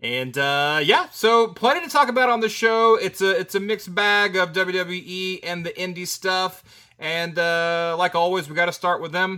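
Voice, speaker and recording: In a raised, projected voice with a bright, sharp tone, a high-pitched man speaks at a fairly slow pace with ordinary pitch variation, in a very clean recording with a silent background. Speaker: wrestling podcast co-host. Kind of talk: casual chat.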